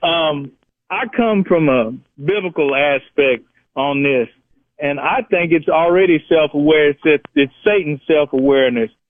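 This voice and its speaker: A man with an American accent uses a normal speaking voice, fairly high in pitch. He talks at a fairly slow pace with ordinary pitch variation. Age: 60s. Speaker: caller. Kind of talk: call-in radio talk.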